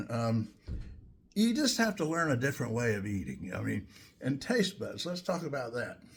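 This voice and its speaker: With vocal fry and very wide pitch swings, a man at a medium pitch speaks at a moderate pace. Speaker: home cook, video creator. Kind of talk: casual talk to camera.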